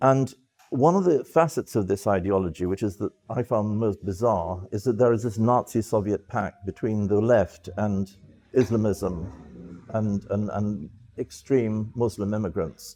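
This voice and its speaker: A man speaks with a British accent in a fairly low voice. His tone is dark and mellow, his pace fairly slow, and his pitch varies in an ordinary way. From England, London (from age nine). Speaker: former press officer and journalist. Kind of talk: interview monologue. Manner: halting, many fillers and repeats.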